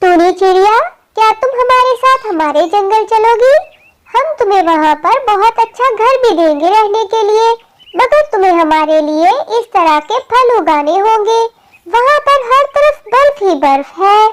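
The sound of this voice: In a cartoonish character voice, a female-sounding speaker goes extremely high in pitch at a fairly slow pace.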